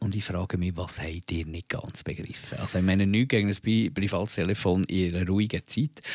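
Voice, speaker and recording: A man speaks with a Bernese accent. The recording is very clean with a silent background, and the sound is dry and close with no echo. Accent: Bernese Swiss German dialect. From Switzerland, Bern. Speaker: podcast co-host. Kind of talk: casual chat.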